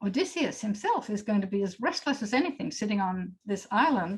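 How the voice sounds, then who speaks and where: A woman talks at a fairly quick pace in a fairly high, somewhat breathy voice with ordinary pitch variation. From Australia. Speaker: poet. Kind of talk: panel discussion.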